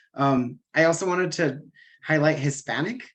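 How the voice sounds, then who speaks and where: A man's speech shows ordinary pitch variation, set against a quiet background. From Los Angeles, California, US. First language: Spanish. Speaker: dancer, invited speaker. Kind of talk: casual presentation on a call. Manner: casual, filler-heavy.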